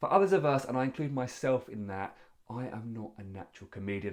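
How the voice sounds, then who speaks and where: A man talks at a very fast pace in a medium-pitched voice. His intonation is lively. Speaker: public speaking coach. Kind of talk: tutorial.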